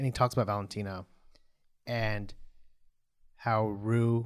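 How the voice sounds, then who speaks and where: The delivery is fairly slow, with monotone, flat intonation and long, frequent pauses. The recording is very clean, with a silent background. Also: man. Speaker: podcast host recapping a TV show. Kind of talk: casual chat recap. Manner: uses many filler words like yeah.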